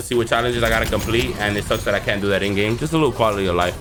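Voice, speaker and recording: With audible room echo, a man speaks at a very fast pace. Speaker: gaming youtuber. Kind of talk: casual video commentary.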